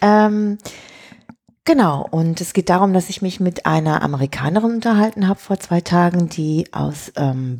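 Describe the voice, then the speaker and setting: Her voice sits fairly low and has a dark, mellow tone, and this woman's pitch swings very widely. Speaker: tech podcast co-host. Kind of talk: casual chat.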